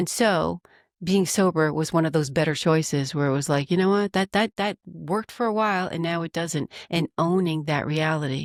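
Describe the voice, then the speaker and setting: A woman with a fairly low pitch talks at a moderate pace with ordinary pitch variation, in a dry, close sound with no echo. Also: very clean recording, silent background. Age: 60s. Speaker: executive coach and author. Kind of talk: podcast interview. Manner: halting, with repeated words.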